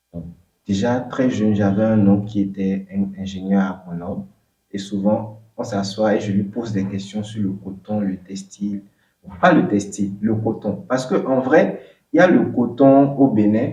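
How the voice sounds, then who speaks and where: Dark and mellow in tone, a man's fairly low voice moves at a fairly slow pace. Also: ordinary pitch variation. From southern Benin. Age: 20s. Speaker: entrepreneur. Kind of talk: interview. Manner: halting, with fillers.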